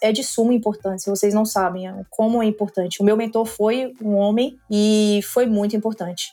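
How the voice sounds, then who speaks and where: A woman with a normal speaking voice talks at a medium pitch with fairly even intonation. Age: 30s. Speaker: finance executive. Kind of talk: podcast interview.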